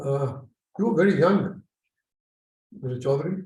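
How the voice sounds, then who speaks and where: A man speaks at a moderate pace in a fairly high pitch, with a dark, mellow tone. His voice is somewhat breathy, and audible echo fills the room. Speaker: moderator at book event. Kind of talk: casual chat.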